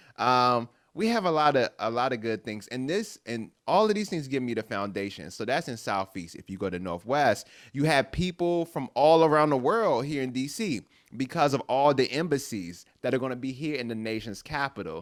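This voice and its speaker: On a very clean recording with a silent background, a man with an American accent speaks at a medium pitch in an animated tone, with very wide pitch swings. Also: moderate pace. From US, Washington DC. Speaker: guest performer on children's theatre show. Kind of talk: casual chat.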